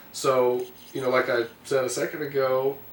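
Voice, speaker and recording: Through noticeable background noise, a man with an American accent speaks at a medium pitch in a monotone, flat intonation. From US South, Alabama. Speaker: stage actor. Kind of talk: interview. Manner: casual, hesitant with fillers.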